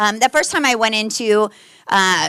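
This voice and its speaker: The tone is animated. The pitch varies in an ordinary way. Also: woman. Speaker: Navy veteran, guest speaker. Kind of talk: presentation to a club. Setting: meeting room with audience. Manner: fast.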